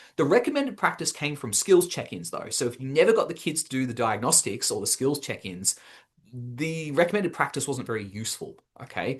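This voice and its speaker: Against a quiet background, a man with an Australian accent talks at a fairly quick pace, his somewhat breathy voice fairly high and swinging very widely in pitch. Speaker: education webinar presenter. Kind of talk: webinar presentation. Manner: fast.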